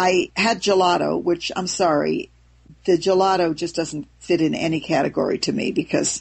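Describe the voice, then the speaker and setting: At a moderate pace, a woman talks in a fairly low voice with vocal fry and ordinary pitch variation. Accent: American. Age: 70s. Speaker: raw food author. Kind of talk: interview. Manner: animated; hesitant, with fillers.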